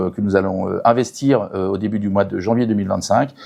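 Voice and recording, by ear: This man has a fairly low pitch and a dark, mellow tone with vocal fry. He talks at a fairly quick pace.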